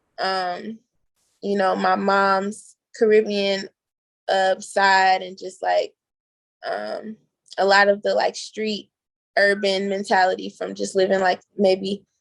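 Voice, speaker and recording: With an American accent, a woman speaks at a very slow pace with long, frequent pauses. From DMV area, US East Coast. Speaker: singer. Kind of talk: radio interview. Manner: casual.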